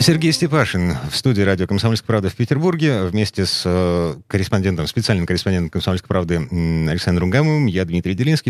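Very deep and low in pitch, a man speaks with lively intonation in a dry, close sound with no echo. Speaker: radio host. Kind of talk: live radio talk show interview.

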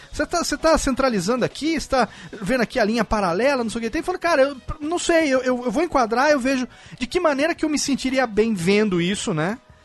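A man's extremely high-pitched, animated voice at a very fast pace over noticeable background noise. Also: lively intonation. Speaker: podcast host. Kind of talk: casual chat.

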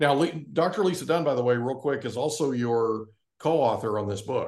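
A man speaks in an ordinary speaking voice. His pace is fairly quick, with ordinary pitch variation. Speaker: podcast host and real estate professional. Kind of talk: casual interview.

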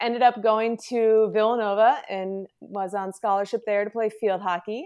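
A woman talks in an ordinary speaking voice at a medium pitch, with an American accent. Her intonation stays fairly even against a quiet background. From New Jersey, Morris County. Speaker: physical therapist. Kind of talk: interview. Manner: casual, filler-heavy.

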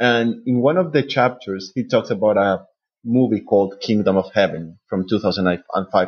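The voice has a Spanish accent. Its pitch varies in an ordinary way. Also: man. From Colombia, Bogota. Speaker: PhD student in medieval studies. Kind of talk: panel discussion.

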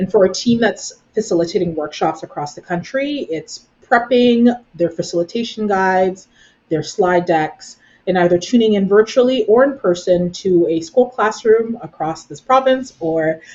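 A woman's medium-pitched voice with a Canadian accent, a normal speaking voice. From Brampton, Ontario, Canada. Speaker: nonprofit executive director. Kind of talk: interview conversation.

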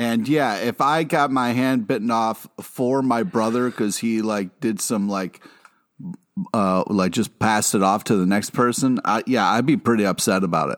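A man speaks in a plain, everyday voice at medium pitch. He keeps a moderate pace with ordinary pitch variation. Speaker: podcast co-host. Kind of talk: casual chat.

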